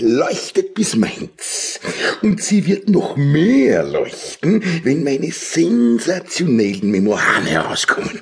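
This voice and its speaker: Loudness stays very even while the pitch swings very widely at a fairly slow pace. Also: man, fairly high pitch for a man. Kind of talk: Austrian TV comedy satire. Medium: audio drama. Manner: pompous, self-satisfied, bombastic.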